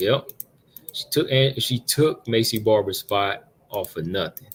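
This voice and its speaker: A man speaks with a somewhat breathy voice. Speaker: MMA livestream host. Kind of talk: live commentary. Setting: livestream away from home. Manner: casual, conversational. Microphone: not usual laptop mic, sounds sharp.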